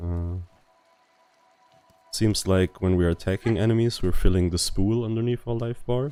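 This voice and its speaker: There is music in the background. The speaker's intonation is fairly even. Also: man. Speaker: gaming YouTuber. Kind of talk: game commentary. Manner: relaxed, laid back.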